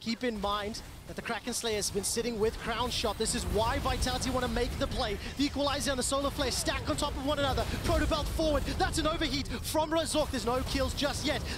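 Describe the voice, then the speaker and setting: The speech races at a very fast pace with hardly any pauses, over noticeable background noise. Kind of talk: live esports commentary. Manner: fast-paced, excitable play-by-play; rising energy on big fights.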